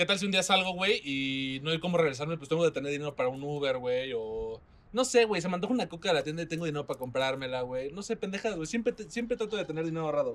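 The speech moves at a very fast pace. The intonation is lively. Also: man. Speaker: podcast host. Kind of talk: casual chat. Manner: animated.

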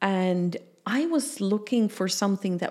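A woman speaks with a Dutch accent. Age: 50s. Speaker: business mentor and human design coach. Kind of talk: casual interview.

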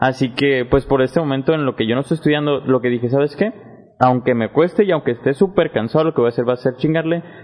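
A very fast, fairly high man's voice in a Mexican accent, with ordinary pitch variation. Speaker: podcast host and university student. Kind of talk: casual interview chat.

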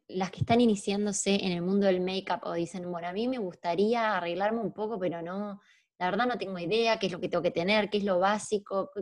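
A woman speaks in an Argentine accent. Her pitch is medium, with ordinary variation. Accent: Rioplatense Argentine Spanish. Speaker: podcast host. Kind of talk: casual interview.

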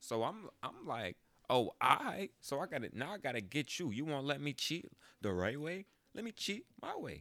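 This man's tone is animated, with very wide pitch swings. His voice carries vocal fry. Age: 20s. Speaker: podcaster. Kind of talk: casual monologue.

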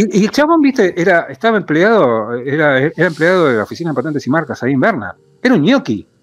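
A man with a Rioplatense accent and very wide pitch swings. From Argentina, Buenos Aires. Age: 50s. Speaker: astrologer. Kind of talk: casual interview chat.

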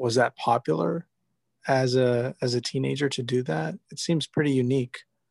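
A man's plain, everyday voice, medium in pitch with ordinary pitch variation, at a fairly slow pace in a dry, close sound with no echo. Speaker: podcast host. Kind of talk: interview.

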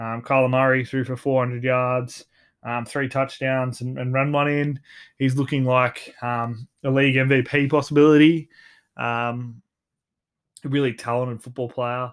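Heard in a very clean recording with a silent background, a man speaks in an Australian accent with monotone, flat intonation. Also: medium pitch for a man, moderate pace. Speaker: sports podcast host. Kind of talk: solo podcast monologue. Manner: hesitant, many fillers and repeats.

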